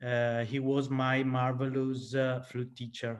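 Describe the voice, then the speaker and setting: A medium-pitched man with an Italian accent, flat and monotone in intonation. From Italy. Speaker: flautist. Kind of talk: casual chat. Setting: video call. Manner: halting.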